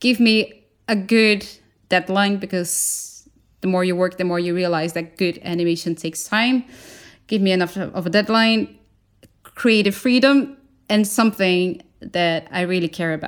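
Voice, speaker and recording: A woman talks at a moderate pace with a medium pitch. She has ordinary pitch variation and a Portuguese accent. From Brazil. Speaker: animator and designer. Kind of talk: casual interview chat.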